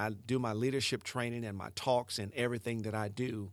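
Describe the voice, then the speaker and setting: A man with fairly low pitch and fairly even intonation talks at a fairly quick pace on a very clean recording with a silent background. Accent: Southern US. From US South, Mississippi Delta. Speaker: motivational speaker. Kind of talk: motivational monologue.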